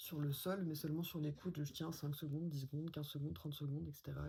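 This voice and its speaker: A woman's very deep, low voice, somewhat breathy with a dark, mellow tone. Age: 20s. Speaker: vlogger. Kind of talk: personal testimony. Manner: hesitant, many fillers.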